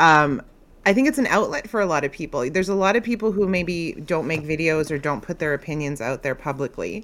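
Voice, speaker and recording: A woman with a Canadian accent speaks fairly quickly, her fairly low pitch carrying lively intonation. She has a plain, everyday voice. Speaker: content creator. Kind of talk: casual chat. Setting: video call.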